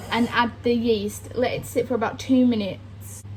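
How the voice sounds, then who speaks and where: A woman speaks at a moderate pace. There is noticeable background noise. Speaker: vlogger. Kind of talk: casual chat.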